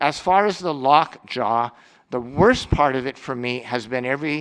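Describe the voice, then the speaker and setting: On a very clean recording with a silent background, a man talks at a moderate pace. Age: 60s. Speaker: head and neck cancer survivor. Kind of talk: testimony. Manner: halting.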